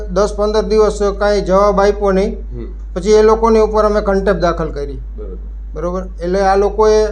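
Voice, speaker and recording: Male speech carrying audible room echo, with music playing behind it. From Jamnagar district, Gujarat, India. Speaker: farmer. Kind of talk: testimony.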